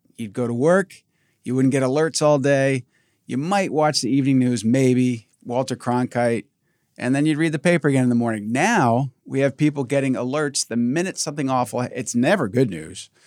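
An ordinary speaking voice from a man, medium in pitch, at a moderate pace with ordinary pitch variation and a dry, close sound with no echo. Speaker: podcast host. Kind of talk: interview conversation. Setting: video call.

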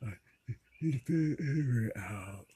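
This man's voice has a dark, mellow tone and is somewhat breathy. His intonation is lively. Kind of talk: casual chat. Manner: varying volume.

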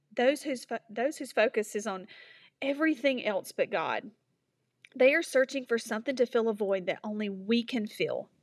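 In a very clean recording with a silent background, a woman speaks at a moderate pace in a high pitch with ordinary pitch variation. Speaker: devotional speaker. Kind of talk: devotional reflection. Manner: earnest.

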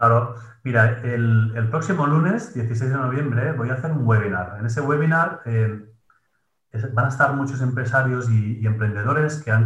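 With audible room echo, a man speaks at a moderate pace and a medium pitch. His voice is somewhat breathy, with fairly even intonation. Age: 30s. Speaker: productivity coach and gym manager. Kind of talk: interview.

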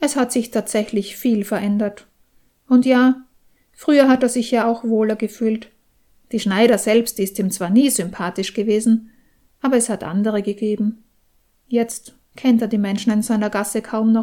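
A woman's fairly high-pitched voice with a dark, mellow tone, fairly even intonation, and long, frequent pauses. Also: moderate pace. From Austria. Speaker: novelist. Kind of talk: reading aloud.

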